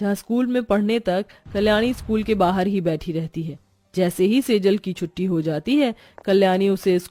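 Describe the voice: Someone reads aloud plainly. The pitch moves up and down in a normal way.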